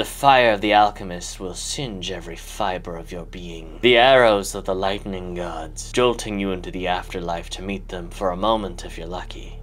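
Using a put-on character voice, a man talks at a moderate pace with a fairly low pitch and hardly any pauses over clear background noise. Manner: grandiose, theatrical.

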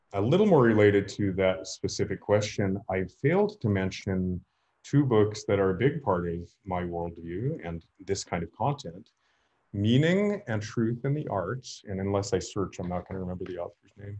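A man with a fairly low pitch, a dark, mellow tone and a somewhat breathy quality, against a quiet background. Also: ordinary pitch variation, moderate pace. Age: 50s. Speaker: lecturer on storytelling. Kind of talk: lecture. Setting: video call. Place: home room. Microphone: webcam.

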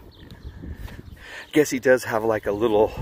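There is noticeable background noise behind this man's fairly low voice, and the sound itself is dry with no echo. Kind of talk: casual vlog chat. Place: street. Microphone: phone near.

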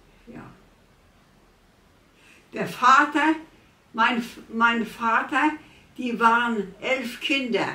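In a room with audible echo, a woman speaks very slowly at a high pitch, with long, frequent pauses, big swings in loudness, and ordinary pitch variation. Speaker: care patient, war eyewitness. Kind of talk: interview answer. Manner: hesitant. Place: kitchen.

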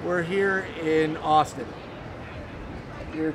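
Noticeable background noise sits behind the audio. The speaker is a man with a fairly high pitch. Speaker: homelessness advocate, interviewer. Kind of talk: interview questions. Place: street. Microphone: phone near.

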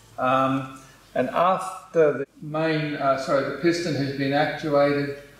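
Room echo is audible around the speaker. He is a man with fairly even intonation. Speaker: presenter. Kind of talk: tutorial. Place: office. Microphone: camera far.

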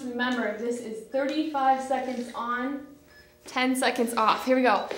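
Amid audible room echo, a woman with a high pitch speaks in a monotone, flat intonation. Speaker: fitness instructor. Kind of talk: follow-along workout coaching, counting down intervals while exercising. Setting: home workout video filmed while exercising. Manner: breathless, clipped countdown cues mid-exertion. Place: studio.

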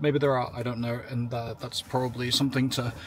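At a moderate pace, a man speaks in a somewhat breathy voice, the sound dry with no echo and light background noise behind him. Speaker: EV road trip vlogger. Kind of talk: casual vlog chat. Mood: relaxed, happy. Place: car.

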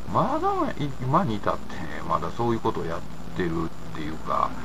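Amid noticeable background noise, a man speaks at a moderate pace with an Osaka accent. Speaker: independent commentator. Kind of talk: casual talk to camera. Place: home room. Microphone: webcam.

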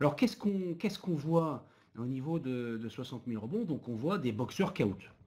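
A man speaks at a fairly slow pace in a dark, mellow tone that is somewhat breathy. His pitch swings very widely. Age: 50s. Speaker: business owner and association president. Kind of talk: webinar panel discussion.

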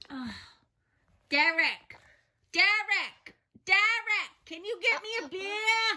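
Put-on character voice at an extremely high pitch, very slow pace, long, frequent pauses. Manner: shouting, angry.

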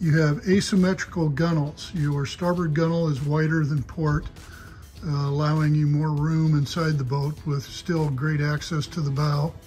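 Faint music plays in the background while the voice moves at a moderate pace. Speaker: boat salesperson. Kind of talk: sales walkthrough commentary. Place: shop. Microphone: phone near.

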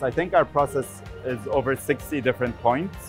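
Faint music plays behind a man whose voice sounds dry, with no echo. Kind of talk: interview answer. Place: booth. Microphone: lapel.

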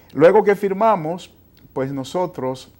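A man is speaking. His pace is fairly slow. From Dominican Republic, San Juan. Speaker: foundation president, optometry program director. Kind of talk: TV interview. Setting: TV studio. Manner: hesitant with fillers. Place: studio. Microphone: lapel.

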